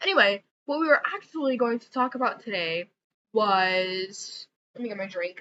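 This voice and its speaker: A woman speaks in an ordinary speaking voice at a moderate pace and a fairly high pitch, with lively intonation and big swings in loudness. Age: 20s. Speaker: vlogger. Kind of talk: casual chat. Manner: casual, filler-heavy.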